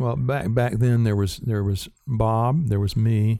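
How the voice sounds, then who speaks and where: A man speaks with a dark, mellow tone at a medium pitch. The recording is very clean, with a silent background. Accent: Southern US. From US South, rural South Carolina. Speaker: cinematographer, former Steadicam operator. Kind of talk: interview.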